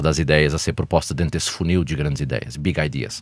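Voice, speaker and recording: Very deep and low in pitch, a man talks at a very fast pace with vocal fry. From Portugal. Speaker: healthcare company executive. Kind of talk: podcast interview. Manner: hesitant, with fillers.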